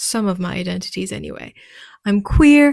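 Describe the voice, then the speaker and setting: A woman speaks with a French accent. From France. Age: 30s. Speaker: podcast host and wellness business owner. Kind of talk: personal monologue.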